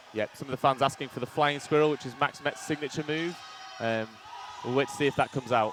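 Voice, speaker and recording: This man talks at a very fast pace with a fairly high pitch. Noticeable background noise runs underneath. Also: fairly even intonation. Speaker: sports commentator. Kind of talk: live commentary. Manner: loud.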